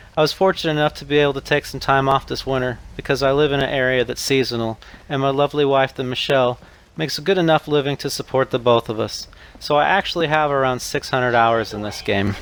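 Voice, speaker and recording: A robotic male voice speaks at a very fast pace. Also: medium pitch for a man. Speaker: gaming youtuber. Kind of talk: tutorial read from notes. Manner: flat, robotic reading.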